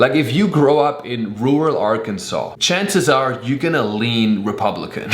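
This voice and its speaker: A man speaks with a German accent, his pitch swinging very widely. Noticeable background noise sits behind him. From Germany. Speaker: stand-up comedian. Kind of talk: casual comedic talk to camera.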